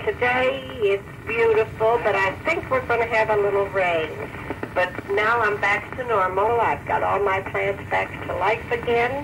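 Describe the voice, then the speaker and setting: A woman's warm tone at a fairly slow pace, with ordinary pitch variation, very even loudness and noticeable background noise. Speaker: grandmother sending a spoken letter. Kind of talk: recorded voice letter to a grandchild. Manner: warm, affectionate. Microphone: old recording.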